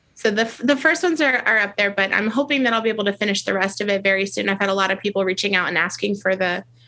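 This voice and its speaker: A woman's medium-pitched voice at a very fast pace, with hardly any pauses, very even loudness, ordinary pitch variation and noticeable background noise. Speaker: teacher and author. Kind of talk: interview. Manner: well-paced, clear reader.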